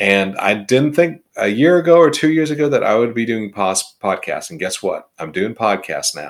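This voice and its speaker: A very clean recording with a silent background captures a man speaking at a moderate pace. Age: 50s. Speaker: HR consultant podcast host. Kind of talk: solo podcast monologue. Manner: conversational, some self-corrections.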